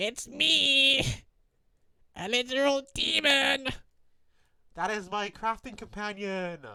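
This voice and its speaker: A put-on character voice sits at a fairly high pitch. It moves at a fairly slow pace, with long, frequent pauses. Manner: playful, exaggerated.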